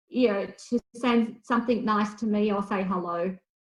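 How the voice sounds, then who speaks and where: A woman talks at a fairly slow pace in a somewhat breathy, fairly high voice with ordinary pitch variation. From rural Australia (outback). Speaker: author and farmer. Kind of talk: interview conversation. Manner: hesitant, many fillers.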